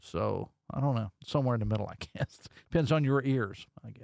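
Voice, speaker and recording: A man with a West Virginia accent at a medium pitch and moderate pace, ordinary pitch variation, dry and close with no echo, on a very clean recording with a silent background. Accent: Appalachian West Virginia, mild. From southern West Virginia, Logan County. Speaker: radio talk show host. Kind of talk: talk radio monologue. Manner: casual, conversational.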